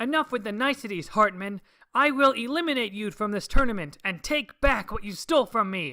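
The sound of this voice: In a put-on character voice, the speaker talks at a fairly quick pace with a fairly high pitch, recorded very cleanly against a silent background.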